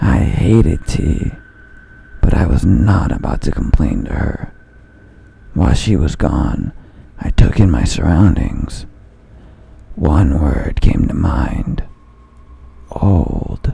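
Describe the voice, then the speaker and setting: In a put-on character voice, a man speaks raspy and very deep, with lively intonation. He goes at a very slow pace, with long, frequent pauses. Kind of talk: horror narration. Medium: read story.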